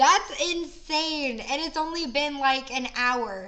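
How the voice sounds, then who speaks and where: A woman's raised, projected voice moves at a very slow pace amid noticeable background noise and audible room echo. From Florida. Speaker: streamer interviewer. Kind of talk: interview.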